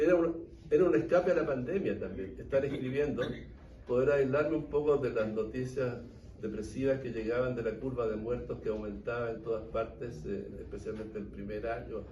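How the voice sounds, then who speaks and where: A man talks at a medium pitch, and audible room echo hangs on his words. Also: ordinary pitch variation, moderate pace. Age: 80s+. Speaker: historian and author. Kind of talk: book talk Q&A.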